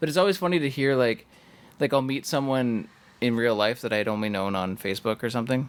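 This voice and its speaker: Talking at a very fast pace, a man uses a medium pitch and lively intonation. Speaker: podcast co-host. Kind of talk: casual chat. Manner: calm, even-keeled.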